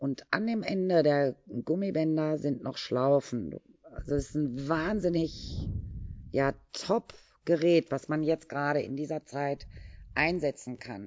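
A woman talks at a very slow pace. Her pitch is very deep and low, with ordinary variation. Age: 50s. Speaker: fitness and yoga instructor. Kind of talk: casual interview.

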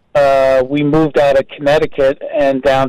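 This man talks with an American accent and a fairly high pitch. His pace is fairly slow. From New Jersey, New Brunswick. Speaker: artist and radio host. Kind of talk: casual interview. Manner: animated.

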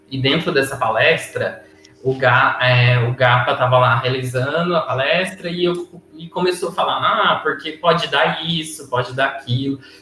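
A man with a fairly high pitch and ordinary pitch variation talks at a moderate pace while music plays in the background. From Brazil, interior of São Paulo state. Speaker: HIV youth activist. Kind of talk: casual chat.

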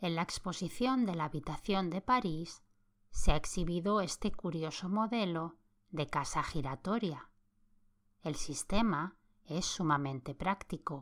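An ordinary speaking voice with lively intonation moves at a fairly slow pace in a very clean recording with a silent background. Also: woman, fairly low pitch for a woman. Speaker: podcast host, sleep-story narrator. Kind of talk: reading aloud a 1929 magazine in a calm, sleep-inducing bedtime style. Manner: slow, soft, soothing, even pacing.

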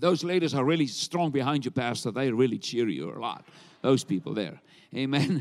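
A man's medium-pitched voice with vocal fry, lively intonation, and long, frequent pauses. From South Africa. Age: 60s. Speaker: traveling evangelist preacher. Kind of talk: sermon. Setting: church with congregation. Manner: animated.

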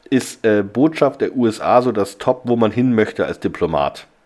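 A man at a moderate pace and medium pitch. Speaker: podcast host. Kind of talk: casual chat. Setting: hotel room.

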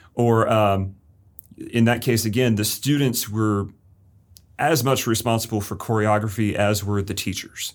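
A man with a plain, everyday voice and an American accent, at a medium pitch, fairly slow pace and fairly even intonation, on a very clean recording with a silent background. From Florida, Lakeland. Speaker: high school English teacher. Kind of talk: interview.

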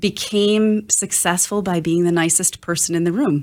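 A woman speaks at a moderate pace in an ordinary speaking voice, with fairly even intonation. The recording is very clean, with a silent background. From Wisconsin, US (Oshkosh). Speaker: digital strategy consultant. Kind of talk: interview.

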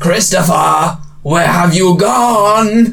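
Over light background noise, a man puts on a character voice pitched high. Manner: menacing.

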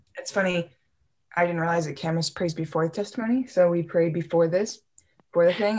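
Talking at a very fast pace, a woman with an American accent has a fairly low pitch. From Michigan, US Midwest. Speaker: college student. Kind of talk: testimony. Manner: animated; halting.

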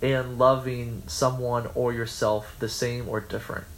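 A man's voice carries audible room echo. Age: 20s. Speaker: college radio podcast host. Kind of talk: casual chat.

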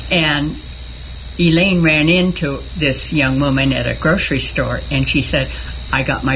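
A woman's voice over noticeable background noise. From Northern California. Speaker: retired teacher. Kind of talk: radio interview. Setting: studio.

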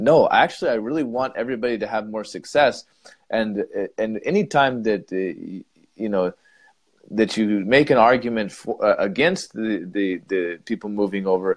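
A normal speaking voice: a man at medium pitch with an American accent, moderate pace and ordinary pitch variation, in a quiet background. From United States. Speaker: English teacher and podcast co-host. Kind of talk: casual debate chat.

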